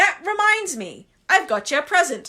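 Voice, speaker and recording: A woman puts on a character voice at an extremely high pitch, speaking at a moderate pace. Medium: read story. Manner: rough colloquial.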